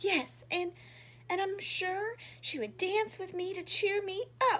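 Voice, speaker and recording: A woman does a squeaky put-on character voice at an extremely high pitch. She talks at a fairly slow pace over light background noise. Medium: read story.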